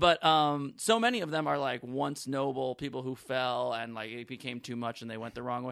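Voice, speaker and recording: Talking at a fairly quick pace with hardly any pauses, a man with an American accent and a medium pitch uses fairly even intonation and big swings in loudness in an unremarkable speaking voice, captured in a very clean recording with a silent background. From New York City, Manhattan. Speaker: stand-up comedian. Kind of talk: casual chat.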